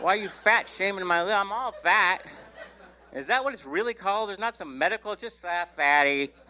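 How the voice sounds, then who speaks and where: A man speaks at a fairly quick pace in a raised, projected voice that is high, with lively intonation and big swings in loudness. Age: 60s. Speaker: stand-up comedian. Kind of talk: stand-up. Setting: stage with audience.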